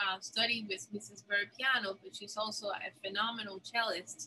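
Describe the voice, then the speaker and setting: A woman speaks at a moderate pace. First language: not English. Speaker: former piano student, co-host. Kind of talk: memorial tribute storytelling. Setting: video call.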